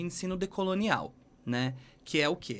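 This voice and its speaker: With lively intonation, a man speaks at a moderate pace in a normal speaking voice. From Brazil. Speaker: English teacher. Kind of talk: podcast interview.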